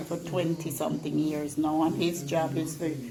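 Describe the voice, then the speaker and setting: Noticeable noise runs behind speech delivered at a fairly slow tempo. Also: woman. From Jamaica. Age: 80s+. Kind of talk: interview answer.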